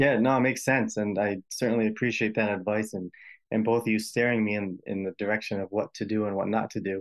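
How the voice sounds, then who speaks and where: A man with an American accent talks at a very fast pace, fairly low in pitch and in a monotone, flat intonation. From US Northeast, Rhode Island. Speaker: healthcare imaging worker. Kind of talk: advice call-in conversation.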